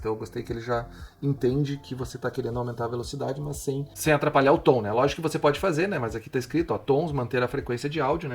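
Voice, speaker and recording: Intonation stays fairly even as this man talks. He goes very fast at a medium pitch. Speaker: tech tutorial youtuber. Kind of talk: tutorial.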